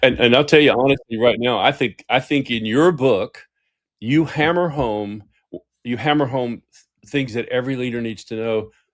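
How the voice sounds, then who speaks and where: A man with a Southern US accent speaks at a moderate pace and medium pitch. His pitch varies in an ordinary way, while his loudness swings widely. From US South. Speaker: executive coach and author. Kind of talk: interview conversation. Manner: animated.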